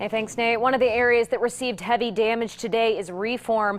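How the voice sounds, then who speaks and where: Here a woman speaks in an ordinary speaking voice. Her pitch is fairly high and her pace fairly quick. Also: fairly even intonation. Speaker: TV news anchor. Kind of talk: TV news anchoring.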